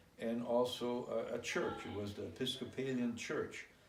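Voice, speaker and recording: The room echo is audible, and background noise is noticeable. A man talks at a fairly slow pace. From Germany (Hamburg), moved to US Midwest at 10. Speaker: immigrant recounting life story. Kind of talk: interview.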